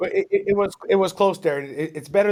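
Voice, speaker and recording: This man speaks with a Toronto accent. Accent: Canadian English (Toronto). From Ontario, Canada. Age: 40s. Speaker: real estate broker. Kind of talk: interview. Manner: hesitant, many fillers and repeats.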